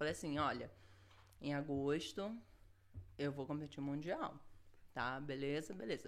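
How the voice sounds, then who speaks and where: With a very deep, low voice, a woman speaks at a fairly slow pace with ordinary pitch variation and long, frequent pauses. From Rio de Janeiro, Brazil. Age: 30s. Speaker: jiu-jitsu world champion. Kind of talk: casual interview.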